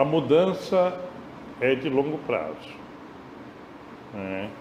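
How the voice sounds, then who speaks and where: A man talks at a very slow pace with lively intonation. Audible room echo and noticeable background noise come through. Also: fairly high pitch for a man. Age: 60s. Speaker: course lecturer. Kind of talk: lecture discussion.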